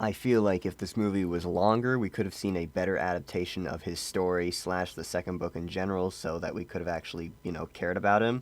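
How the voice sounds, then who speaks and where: In a very clean recording with a silent background, a man with a very deep, low pitch delivers a deadpan, fairly even line at a very fast pace with hardly any pauses. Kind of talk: casual movie review to camera. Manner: apathetic, deadpan.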